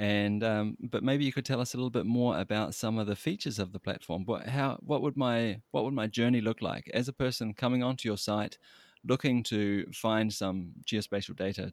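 A man speaks at medium pitch with a New Zealand accent, at a moderate pace with hardly any pauses. His loudness stays very even and his pitch varies in the ordinary way, and the very clean recording is dry and close, with no echo and a silent background. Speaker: podcast host. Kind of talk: interview.

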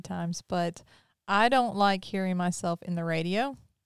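A woman with a slight Southern US accent speaks at medium pitch with fairly even intonation, in a very clean recording with a silent background and a dry, close sound with no echo. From Mississippi; Pearl, Mississippi. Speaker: podcast host. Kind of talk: casual interview chat.

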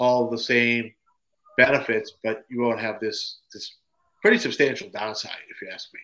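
A man's medium-pitched voice, bright and sharp in tone, at a moderate pace. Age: 50s. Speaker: supplement ingredient developer. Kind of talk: casual chat.

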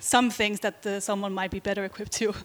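This woman speaks with a Faroese accent. Her pitch sits fairly high. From Faroe Islands. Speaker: LGBT rights activist. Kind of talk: panel presentation. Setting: stage with audience.

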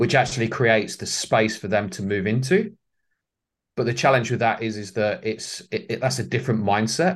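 Against a quiet background, a somewhat breathy man with an English accent speaks at medium pitch and a moderate pace with ordinary pitch variation. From England. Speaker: leadership facilitator and author. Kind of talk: interview. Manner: hesitant with fillers.

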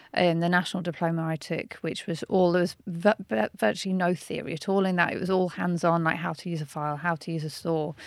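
In a Birmingham accent, the speaker rushes at a very fast pace with hardly any pauses and fairly even intonation, in a very clean recording with a silent background. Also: woman, fairly low pitch for a woman. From Birmingham, England. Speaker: watchmaker and historian. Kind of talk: interview.

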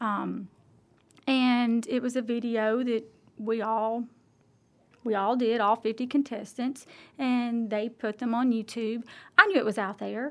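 A woman talks with an Alabama accent at a fairly high pitch. Her intonation stays fairly even, broken by long, frequent pauses. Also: fairly slow pace, very clean recording, silent background. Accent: Southern US (Alabama). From US South, Alabama. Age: 40s. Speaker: local politician. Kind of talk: interview.

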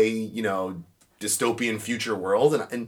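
Bright and sharp in tone, a man with an American accent talks at a moderate pace with ordinary pitch variation on a very clean recording with a silent background. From New York. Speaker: podcast guest. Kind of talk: casual chat. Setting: studio.

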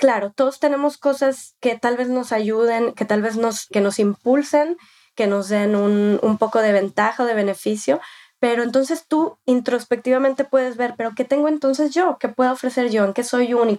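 In a dry, close sound with no echo, a woman with a high pitch and a dark, mellow tone speaks at a moderate pace with ordinary pitch variation. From Mexico. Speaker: lawyer. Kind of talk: interview. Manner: halting, with repetitions.

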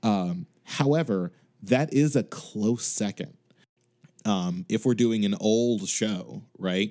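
A man speaks very slowly in an American accent, his pitch fairly low. His tone is dark and mellow, with lively intonation. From Chicago. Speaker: music director. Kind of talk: casual chat.

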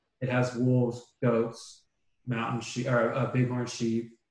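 A somewhat breathy man's voice at medium pitch and a moderate pace. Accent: American. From US West Coast, Bay Area. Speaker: PhD student and biology lab instructor. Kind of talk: casual chat.

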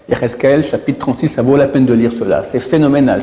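Fairly quick, fairly high-pitched male speech, ordinary in its pitch variation, over noticeable background noise. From Israel. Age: 60s. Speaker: rabbi. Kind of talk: religious lecture. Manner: repetitive, stammering.

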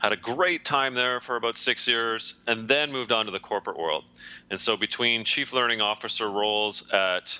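A man with a Canadian accent talks at a moderate pace and medium pitch. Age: 40s. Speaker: leadership consultant and author. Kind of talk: interview. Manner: hesitant with fillers.

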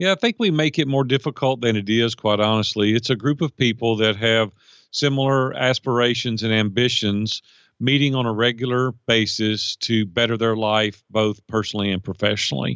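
A man with a Middle Tennessee accent at a moderate pace, his loudness very even. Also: medium pitch for a man, ordinary pitch variation. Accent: US Southern (Middle Tennessee). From Nashville, Tennessee. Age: 50s. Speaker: life and business coach. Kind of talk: interview conversation.

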